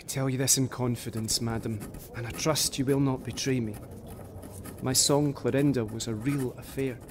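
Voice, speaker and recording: A man talks at medium pitch and a moderate pace in a flat monotone. Noticeable background noise runs underneath. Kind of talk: period audio drama, reading 18th-century letters aloud in character. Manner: formal, earnest, florid, measured.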